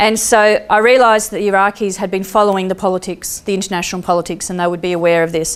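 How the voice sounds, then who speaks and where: In an Australian accent, a woman speaks at a fairly quick pace. Her medium-pitched voice has an animated tone. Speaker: peace activist and speaker. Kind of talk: storytelling talk.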